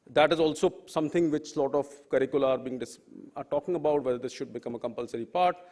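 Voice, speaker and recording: A man's very fast speech with a Bengali accent, fairly high in pitch, with ordinary pitch variation. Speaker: professor, panel speaker. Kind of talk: panel talk. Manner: halting, many fillers.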